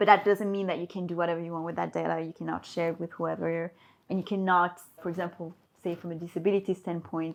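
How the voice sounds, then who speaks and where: A woman with a fairly low pitch speaks very fast in a monotone, flat intonation against a quiet background. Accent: French. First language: French. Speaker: HR and recruitment professional. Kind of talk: podcast interview.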